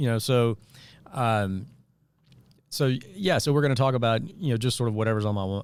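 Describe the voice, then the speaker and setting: In a slight Mississippi accent, a man speaks with ordinary pitch variation. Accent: Southern US, slight Mississippi touch. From US South, northeast Arkansas (Jonesboro). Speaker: podcast host, former political worker. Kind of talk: casual talk show monologue. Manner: hesitant, many fillers.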